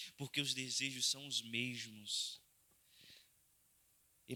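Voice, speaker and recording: His tone is bright and sharp, at medium pitch for a man. He speaks at a very slow pace. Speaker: pastor preaching a sermon. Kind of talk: sermon / Bible study teaching.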